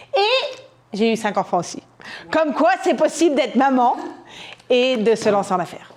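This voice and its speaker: The tone is animated, with very wide pitch swings and long, frequent pauses. Noticeable background noise runs through the clip. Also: woman, high pitch for a woman, moderate pace. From France. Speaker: entrepreneur, conference speaker. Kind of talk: conference talk.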